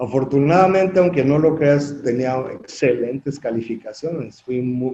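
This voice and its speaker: The man's fairly high voice moves with ordinary pitch variation as he talks fairly slowly. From Mexico City. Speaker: construction industry association president. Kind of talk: interview. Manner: animated storytelling.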